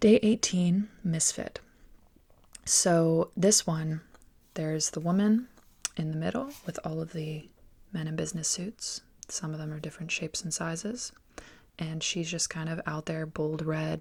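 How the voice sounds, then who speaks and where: Soft-spoken and somewhat breathy, a woman with a fairly low pitch speaks at a fairly slow pace, with long, frequent pauses. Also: ordinary pitch variation. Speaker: artist. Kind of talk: sketchbook tour voiceover.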